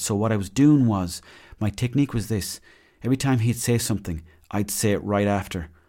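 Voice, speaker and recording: On a very clean recording with a silent background, a man with a west of Ireland accent talks very fast in a dark, mellow, fairly low voice with ordinary pitch variation. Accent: west of Ireland Irish. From Mayo, west of Ireland. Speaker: podcast host. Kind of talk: casual storytelling monologue.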